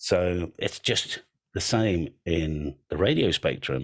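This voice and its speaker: A man with an English accent speaks in a very deep, low pitch, showing vocal fry and ordinary pitch variation. The recording is very clean, with a silent background. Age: 60s. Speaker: antenna business owner, radio amateur. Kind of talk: presentation.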